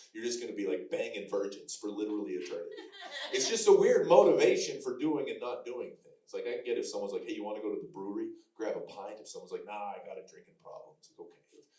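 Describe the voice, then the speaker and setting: A man at a very fast pace, big swings in loudness, audible room echo. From Canada, Alberta. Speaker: comedian. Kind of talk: stand-up. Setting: stage with audience.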